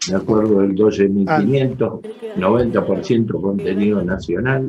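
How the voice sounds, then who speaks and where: In an unremarkable speaking voice, a man talks at a moderate pace and fairly low pitch, with ordinary pitch variation and very even loudness. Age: 60s. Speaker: trade union leader. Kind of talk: panel talk.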